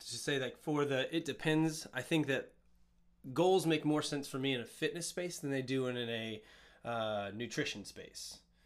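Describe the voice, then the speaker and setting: A man speaks in a normal speaking voice at a fairly slow pace, his pitch fairly high with ordinary variation. The recording is very clean, with a silent background. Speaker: fitness and nutrition coach. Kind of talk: casual podcast chat. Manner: playful, jokey.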